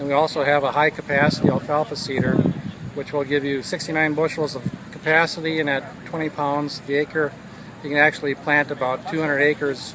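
A man at a moderate pace, a dry sound with no echo, noticeable background noise. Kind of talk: product explanation interview. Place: open country. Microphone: camera far.

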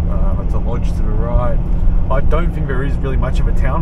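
Loud background noise surrounds a man speaking at a fairly quick pace in a dry sound with no echo. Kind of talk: casual travel commentary. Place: car. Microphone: camera far.

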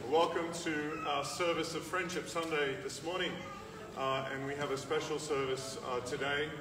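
Clear music plays in the background. A man speaks at a fairly slow pace with ordinary pitch variation. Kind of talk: service welcome and introduction. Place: hall. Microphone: camera far.

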